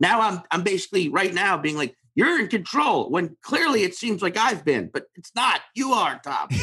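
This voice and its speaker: A man speaks in a high, raised, projected voice with a bright, sharp tone. His pitch swings very widely at a moderate pace. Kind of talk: casual chat. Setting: video call. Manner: joking, animated.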